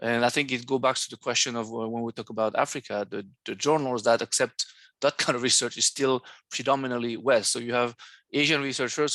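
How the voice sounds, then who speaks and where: Over a quiet background, a bright, sharp voice talks fairly quickly in a flat monotone, with a dry, close sound and no echo. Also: man. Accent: French. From France. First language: French. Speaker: academic seminar moderator. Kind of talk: academic seminar discussion. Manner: halting, many fillers.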